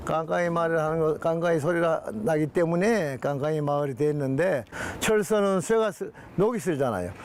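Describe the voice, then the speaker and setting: Spoken at a moderate pace with lively intonation, the voice comes through over noticeable background noise. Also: man, fairly high pitch for a man. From Busan, Korea (Yeongdo). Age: 80s+. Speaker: elderly village resident. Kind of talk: interview.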